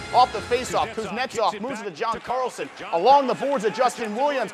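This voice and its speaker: An extremely high-pitched man talks at a moderate pace in an excited, energetic tone against noticeable background noise. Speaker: sports anchor and reporter. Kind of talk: sports play-by-play.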